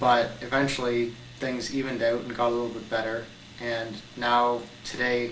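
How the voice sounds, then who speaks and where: A man with a Canadian accent talks at a moderate pace in monotone, flat intonation, with audible room echo and noticeable background noise. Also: medium pitch for a man. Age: 20s. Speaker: young cancer patient. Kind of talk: testimony.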